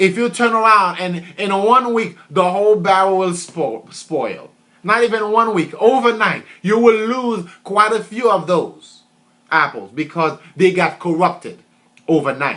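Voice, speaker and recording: A man uses a raised, projected voice at a high pitch with ordinary pitch variation. His pace is fairly slow. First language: French. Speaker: motivational speaker. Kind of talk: motivational talk. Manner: repetitive, emphatic.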